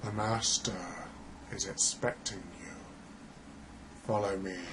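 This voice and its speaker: Using a put-on character voice, a man speaks at a fairly low pitch and a fairly slow pace, with clear background noise behind him. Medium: solo performance. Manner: curt, expressionless.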